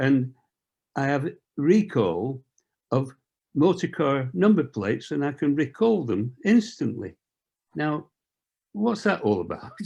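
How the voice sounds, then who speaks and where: Against a quiet background, a man with a dark, mellow tone, vocal fry and a fairly high pitch speaks with very wide pitch swings and long, frequent pauses. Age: 80s+. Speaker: cardiac arrest survivor. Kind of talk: Q&A question.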